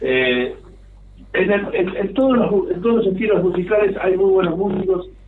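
With audible room echo, a man with a high pitch talks at a moderate pace, with ordinary pitch variation and very even loudness. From Argentina, Mar del Plata. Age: 60s. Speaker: pianist and composer. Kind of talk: radio interview.

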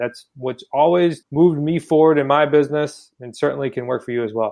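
A plain, everyday voice moves at a moderate pace. Its pitch varies in an ordinary way. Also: man. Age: 20s. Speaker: real estate investor. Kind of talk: interview.

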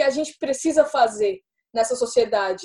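This woman has a dark, mellow tone. Her pitch is high. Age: young. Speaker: writer. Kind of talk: casual chat.

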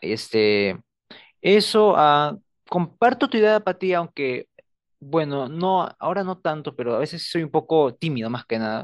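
At a fairly slow pace, a man speaks in a fairly high pitch with very wide pitch swings. The sound is dry and close with no echo, over a quiet background. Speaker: student podcast co-host. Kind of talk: casual chat. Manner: reserved, few words.

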